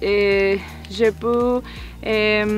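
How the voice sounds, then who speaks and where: A woman speaks with a Spanish accent. Noticeable noise sits in the background. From Colombia. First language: Spanish (speaking French). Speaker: French-learning immigrant student. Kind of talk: testimony. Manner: halting, many hesitations.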